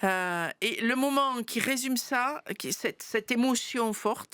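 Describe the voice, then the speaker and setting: In an ordinary speaking voice, a woman talks at a fairly high pitch with lively intonation. The recording is very clean, dry and close, with a silent background and no echo. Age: 60s. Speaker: pastor. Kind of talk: interview.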